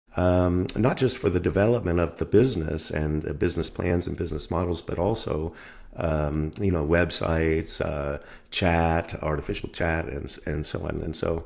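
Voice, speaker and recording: A man's very deep, low voice with an American accent, at a moderate pace with ordinary pitch variation. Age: 60s. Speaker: doctor and entrepreneur. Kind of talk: interview. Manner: hesitant, many fillers.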